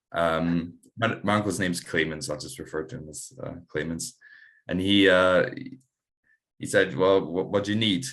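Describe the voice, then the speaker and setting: A man with a very deep, low pitch and a Scottish accent, moderate pace, ordinary pitch variation, long, frequent pauses, big swings in loudness, and a quiet background. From Scotland. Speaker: amateur rugby player. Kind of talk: casual interview chat. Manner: halting, many fillers.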